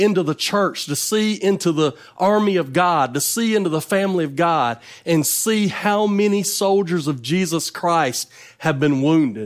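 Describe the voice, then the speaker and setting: On a very clean recording with a silent background, a man with a Southern US accent talks at a fairly slow pace in a high pitch. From North Carolina. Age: 40s. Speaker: evangelist preacher. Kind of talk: sermon.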